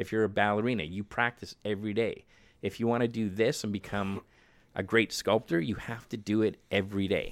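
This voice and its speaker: Talking at a fairly quick pace with a Canadian accent, a man has an ordinary speaking voice, fairly low in pitch, with fairly even intonation. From Manitoba, Canada. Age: 50s. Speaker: film makeup artist. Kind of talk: casual chat.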